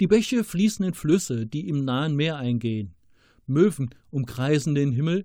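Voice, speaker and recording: A man speaks at a fairly slow pace with a dark, mellow tone and a fairly high pitch. His pitch swings very widely, in a very clean recording with a silent background. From Rhineland, Germany. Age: 50s. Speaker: author. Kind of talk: reading aloud.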